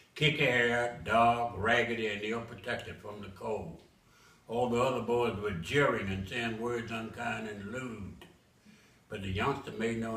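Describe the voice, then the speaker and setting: Noticeable background noise accompanies a man with an American accent, medium pitch and fairly even intonation. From Memphis, Tennessee. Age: 80s+. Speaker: author. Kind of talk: poetry reading.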